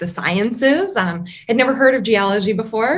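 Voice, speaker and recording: A woman with an Upper Midwest accent and a fairly high pitch. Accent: Upper Midwest American. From northern Wisconsin, US. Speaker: geology professor. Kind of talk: interview. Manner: frequent fillers (um).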